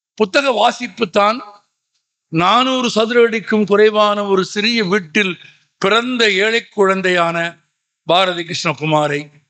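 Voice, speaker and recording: A man speaks in a high voice with ordinary pitch variation and very even loudness. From Tamil Nadu, Madurai. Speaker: public speaker. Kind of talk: public speech. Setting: stage with audience.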